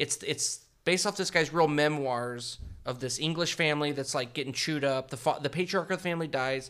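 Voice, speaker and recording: A man's pitch varies in an ordinary way as he talks at a fairly quick pace. The background is silent on this very clean recording. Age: 30s. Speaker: podcast producer, returning guest. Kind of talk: casual chat. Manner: animated.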